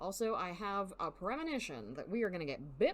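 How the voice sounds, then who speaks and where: Speaking with a strong Southern US accent, a woman uses lively intonation at a medium pitch. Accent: Southern US twang, strong. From US South. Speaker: video game streamer. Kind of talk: live gaming stream, reading game text aloud.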